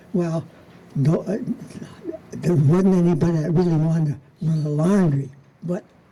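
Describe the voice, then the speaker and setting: A man with an American accent talks at a moderate pace with ordinary pitch variation. Noticeable background noise runs behind him. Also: long, frequent pauses. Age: 90s. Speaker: local history speaker. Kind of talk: storytelling talk. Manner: halting.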